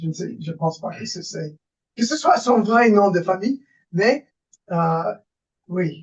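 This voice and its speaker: With an American accent, a man talks in a high voice with ordinary pitch variation. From US Northeast, New York. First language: English (speaking French). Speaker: political science professor. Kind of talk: lecture. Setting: webinar video call. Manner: halting, many hesitations.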